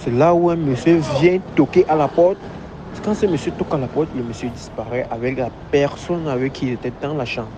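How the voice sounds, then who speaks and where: Over noticeable background noise, a man talks at a fairly quick pace in a fairly high voice with ordinary pitch variation. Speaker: barber. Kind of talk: testimony.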